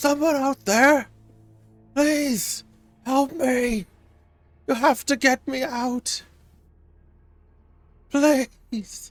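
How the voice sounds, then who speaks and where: A put-on character voice, pitched high, moves at a very slow pace with long, frequent pauses. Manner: pleading, desperate.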